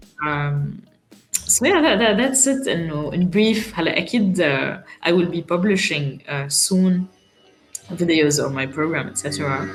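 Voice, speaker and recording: Music plays in the background as a woman speaks at a fairly slow pace. Her fairly low voice carries lively intonation. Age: 20s. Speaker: parliamentary candidate. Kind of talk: podcast interview answer.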